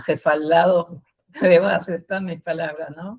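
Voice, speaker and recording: A woman speaks with fairly even intonation. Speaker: activist, association founder. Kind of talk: conversational panel talk. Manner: blunt.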